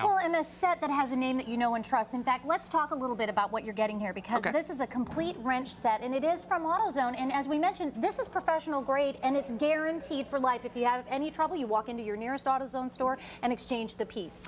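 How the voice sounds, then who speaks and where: With hardly any pauses, a woman rattles along at a very fast pace in a high, lively voice over noticeable background noise. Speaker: TV host. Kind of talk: live home shopping TV pitch.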